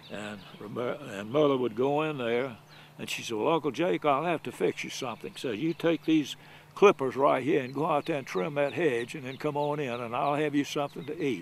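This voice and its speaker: A man at a moderate pace, fairly high in pitch, with ordinary pitch variation. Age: 80s+. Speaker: elderly golfer. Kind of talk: storytelling. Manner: halting.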